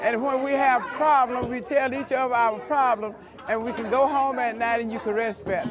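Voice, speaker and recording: Crowd noise and audible room echo sit behind a woman speaking at a moderate pace in a high pitch with ordinary pitch variation. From US South, rural Alabama. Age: 70s. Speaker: quilter. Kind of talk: storytelling interview.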